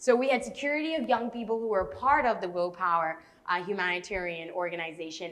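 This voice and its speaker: At a moderate pace, a woman speaks in an animated tone with very wide pitch swings. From Bahamas. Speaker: youth speaker. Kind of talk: TV interview.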